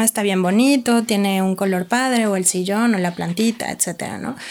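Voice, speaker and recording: This woman has a plain, everyday voice at a medium pitch with ordinary pitch variation. She talks at a moderate pace in a very clean recording with a silent background. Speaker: psychotherapist. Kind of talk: interview.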